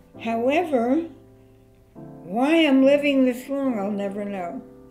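A woman with a high-pitched voice speaks very slowly, with ordinary pitch variation. Faint music sits in the background. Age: 80s+. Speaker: great-grandmother. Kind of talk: interview answer. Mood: warm, reflective. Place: home room.

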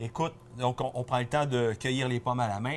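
There is light background noise behind a man speaking at a medium pitch. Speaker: wine columnist; guest. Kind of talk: casual chat. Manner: fast. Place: shop. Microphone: lapel.

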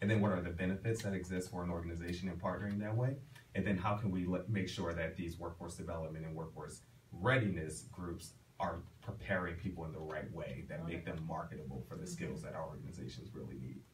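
A man talks very fast in a very deep, low voice with ordinary pitch variation. Light background noise is audible. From Philadelphia (North Philly). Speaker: HR professional and professor. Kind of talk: radio interview. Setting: radio studio. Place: studio.

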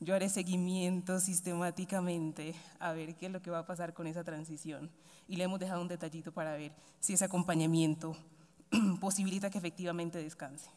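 A woman with a fairly low pitch and a dark, mellow tone speaks fairly quickly in a monotone, flat delivery. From Colombia, Chocó (Pacific coast). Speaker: government official (vice-minister of education). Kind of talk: formal ceremonial speech. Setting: university ceremony with audience. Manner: formal. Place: hall. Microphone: podium.

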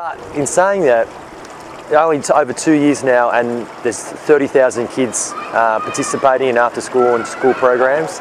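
Recorded dry with no echo but with noticeable background noise, a man speaks with ordinary pitch variation. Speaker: presenter. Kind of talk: casual vlog chat. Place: street. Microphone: phone near.

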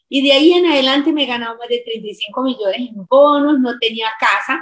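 A woman speaks with a high voice. Her pitch varies in an ordinary way. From Colombia. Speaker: teacher and distributor; teacher. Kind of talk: testimony. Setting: video call. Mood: warm, smiling, enthusiastic. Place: home room. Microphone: video call.

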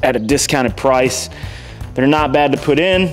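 Faint music plays in the background as a man speaks at a fairly slow pace. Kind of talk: casual vlog chat. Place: garage. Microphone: lapel.

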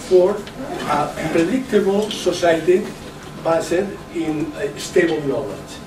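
A man's high-pitched voice comes through over noticeable background noise. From Catalonia. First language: Catalan. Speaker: professor and education official. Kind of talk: lecture. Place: meeting room. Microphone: camera far.

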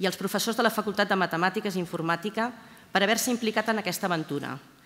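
A woman speaks with a bright, sharp tone and fairly even intonation. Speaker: university librarian. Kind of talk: formal speech. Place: hall. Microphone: podium.

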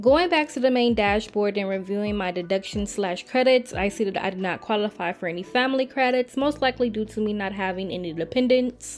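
Music plays in the background as a woman talks at a fairly quick pace. Her voice is fairly high, with ordinary pitch variation. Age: 20s. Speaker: personal finance YouTuber; college student. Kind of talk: tutorial walkthrough narration. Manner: casual, friendly.

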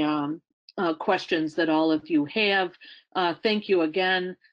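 Fairly even intonation marks this voice with a Western New York accent. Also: woman, quiet background. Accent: American (Western New York). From Western New York, US. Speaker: retired science agency director; webinar presenter. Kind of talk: presentation; presentation talk. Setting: webinar. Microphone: video call.

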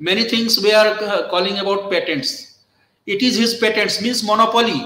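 Speaking at a moderate pace with ordinary pitch variation, a man with an Indian accent uses a high-pitched, raised and projected voice, with audible room echo. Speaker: law professor. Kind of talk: lecture. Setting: video call. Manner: halting. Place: office. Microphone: webcam.

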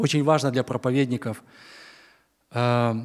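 Against a quiet background, a man speaks at medium pitch. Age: 60s. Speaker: preacher. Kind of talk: sermon. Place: church. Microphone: podium.

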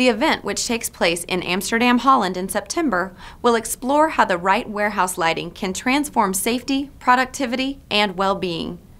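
With an unremarkable speaking voice, a woman talks at a moderate pace and fairly high pitch, her intonation lively and hardly any pauses between words. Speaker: news presenter. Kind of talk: newscast read. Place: studio.

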